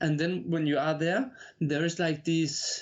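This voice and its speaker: With a strong Danish accent, a man speaks at a fairly high pitch. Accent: heavy Danish. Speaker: inmate and college student. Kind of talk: interview. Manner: halting, many fillers.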